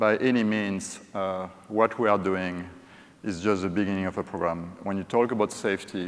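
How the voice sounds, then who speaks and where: A man with a French accent and a fairly low pitch talks at a moderate pace. His intonation is monotone and flat. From France. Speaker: corporate safety executive. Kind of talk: conference presentation. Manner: hesitant with frequent fillers.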